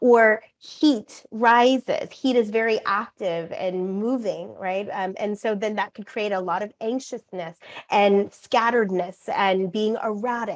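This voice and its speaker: With hardly any pauses, a woman talks at a fairly slow pace and fairly even intonation. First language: Korean. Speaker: acupuncturist and author. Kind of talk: interview.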